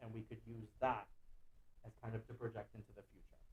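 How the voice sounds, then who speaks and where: At a fairly quick pace, a man with a medium-pitched, somewhat breathy voice speaks. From Guatemala City, raised in the US from age four. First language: Spanish. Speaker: visual artist. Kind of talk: artist lecture. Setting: online lecture.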